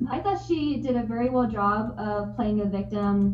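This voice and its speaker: There is audible room echo around this woman's voice. Her pitch variation is ordinary. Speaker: podcast co-host. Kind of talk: casual chat. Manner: stuttering.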